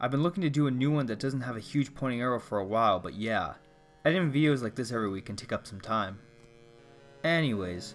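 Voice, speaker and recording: With music in the background, a man talks at a very fast pace, medium pitch and lively intonation. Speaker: indie game developer. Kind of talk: scripted narration.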